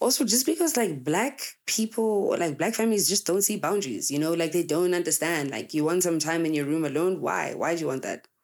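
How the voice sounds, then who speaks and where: A woman's fairly low, animated voice with lively intonation, very even loudness, a fairly quick pace and hardly any pauses. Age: 20s. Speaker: podcast host, content creator. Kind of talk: casual monologue.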